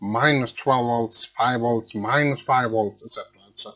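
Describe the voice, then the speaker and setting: A man's medium-pitched voice with a Swedish accent, fairly even intonation and a fairly slow pace, with music in the background. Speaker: electronics repair technician. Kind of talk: tutorial. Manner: halting.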